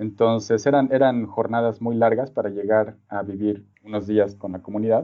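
With hardly any pauses, a man talks at a moderate pace in a fairly low, monotone, flat voice. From Mexico City. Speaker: design professor and researcher. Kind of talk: interview. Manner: halting, many repeated words and fillers.

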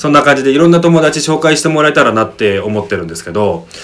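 The speaker goes at a very fast pace with very wide pitch swings, and there is noticeable background noise. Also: man. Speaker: radio host. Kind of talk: casual interview chat.

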